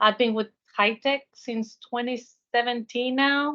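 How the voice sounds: With a bright, sharp tone and fairly even intonation, a woman speaks at a fairly high pitch and a fairly slow pace.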